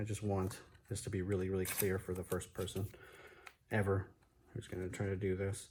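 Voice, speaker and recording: The voice is somewhat breathy and monotone, with flat intonation. It moves at a fairly quick pace but with long, frequent pauses. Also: man, fairly low pitch for a man. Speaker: fireworks hobbyist. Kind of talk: tutorial. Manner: hesitant, many fillers.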